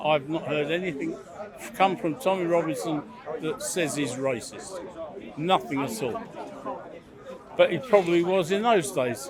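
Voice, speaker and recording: A man's high-pitched voice with lively intonation at a moderate pace, long and frequent pauses, crowd noise behind him and audible room echo. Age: 70s. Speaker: member of the public debating. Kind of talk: street debate.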